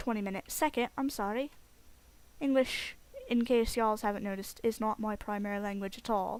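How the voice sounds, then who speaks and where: With a British accent, a woman talks at a fairly quick pace. Her fairly high voice keeps a fairly even intonation. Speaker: video game let's play creator. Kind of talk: gameplay commentary. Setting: home recording with headset. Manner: loud.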